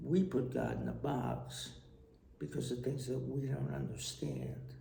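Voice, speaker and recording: Fairly slow speech from a man in an American accent, amid audible room echo. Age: 60s. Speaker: retired tax official and storyteller. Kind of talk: personal vlog monologue. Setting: traveling abroad.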